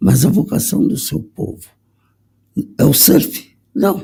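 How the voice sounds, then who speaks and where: A man with a dark, mellow tone talks at a very slow pace, his pitch swinging very widely. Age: 60s. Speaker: conductor. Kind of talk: panel discussion.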